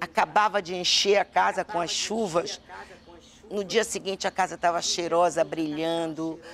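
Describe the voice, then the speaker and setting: This woman's pitch sits fairly low, and her pace is fairly slow. Her intonation comes out flat and monotone. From Brazil, western Pará (Alenquer), raised in Belém. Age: 60s. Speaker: state politician. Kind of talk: interview. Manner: halting, with repetitions.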